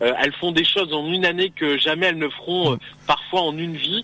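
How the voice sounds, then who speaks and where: A man with a fairly high pitch speaks in an ordinary speaking voice at a moderate pace, keeping his intonation fairly even. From Picardy, northern France. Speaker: beauty pageant regional delegate. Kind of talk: radio interview. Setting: phone call from a car.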